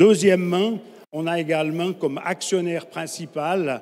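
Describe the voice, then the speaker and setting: A man speaks with a Swiss French accent. His pace is moderate and his pitch varies in an ordinary way. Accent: Swiss French (Romand). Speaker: conference speaker, energy infrastructure company representative. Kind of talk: conference talk.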